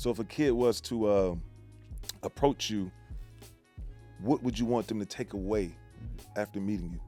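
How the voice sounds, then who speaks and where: Music plays in the background as a man with an American accent speaks at a moderate pace and fairly low pitch. He leaves long, frequent pauses, and his pitch varies in an ordinary way. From American Midwest.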